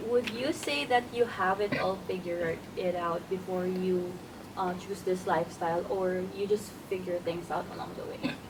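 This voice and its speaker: Noticeable background noise sits under a woman's voice. She has medium pitch and fairly even intonation. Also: moderate pace. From Philippines. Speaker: podcast host. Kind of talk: interview.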